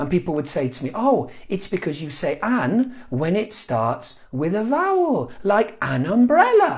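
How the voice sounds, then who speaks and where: With a British accent, a man with a high pitch speaks in an animated tone at a fairly slow pace, with hardly any pauses and very wide pitch swings. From south eastern Spain. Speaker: Spanish teacher. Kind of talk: casual talk to camera. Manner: humorous, animated.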